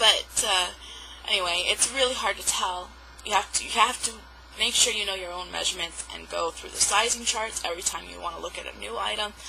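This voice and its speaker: Moderate pace, fairly even intonation, big swings in loudness and long, frequent pauses over noticeable background noise. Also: woman. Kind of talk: casual talk to camera. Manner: rambling, hesitant.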